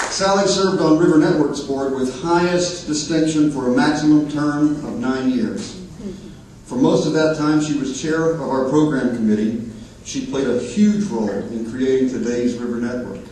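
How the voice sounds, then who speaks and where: With an American accent, a man with a fairly high voice talks at a moderate pace and with lively intonation, amid noticeable background noise and audible room echo. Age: 50s. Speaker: nonprofit river advocate. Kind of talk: award presentation speech.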